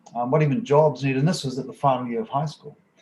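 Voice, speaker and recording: A man speaks with a New Zealand accent in a dark, mellow tone. His voice is somewhat breathy. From New Zealand, South Auckland. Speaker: university professor. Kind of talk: online panel discussion. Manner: hesitant, many fillers.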